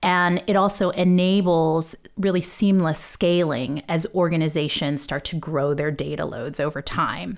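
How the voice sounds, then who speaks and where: A woman with an unremarkable speaking voice talks at a fairly slow pace, pitched fairly low with ordinary variation. She barely pauses, and the recording is very clean with a silent background. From Texas. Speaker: genomics software executive. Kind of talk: interview.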